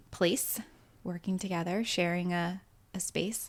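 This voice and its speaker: A woman's unremarkable speaking voice, medium in pitch, with fairly even intonation. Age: 30s. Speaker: podcast co-host. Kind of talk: casual chat.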